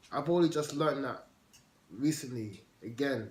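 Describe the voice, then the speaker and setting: The speech is somewhat breathy, with a moderate pace and ordinary pitch variation. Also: man. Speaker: guest who stammers. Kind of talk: casual chat. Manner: informal.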